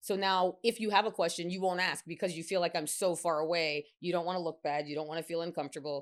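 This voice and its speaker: In a very clean recording with a silent background, a woman with a fairly low voice talks very fast in an animated tone. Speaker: physician, women's health specialist. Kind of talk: interview chat.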